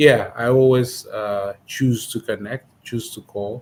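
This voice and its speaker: A man with a strong Ethiopian accent speaks at a fairly slow pace in a somewhat breathy voice. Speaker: immigration paralegal. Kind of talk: interview. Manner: hesitant, many fillers.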